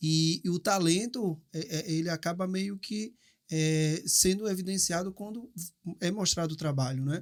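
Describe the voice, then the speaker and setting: A man speaks in a high voice with a Recife accent and ordinary pitch variation. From Brazil, Recife. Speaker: podcast host. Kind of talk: casual chat. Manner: halting.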